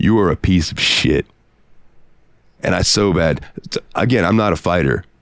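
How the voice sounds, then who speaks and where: A man with a very deep, low pitch and vocal fry speaks in an animated tone at a moderate pace, with long, frequent pauses. His loudness stays very even, and the sound is dry and close with no echo. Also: ordinary pitch variation. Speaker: podcast co-host. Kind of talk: casual chat.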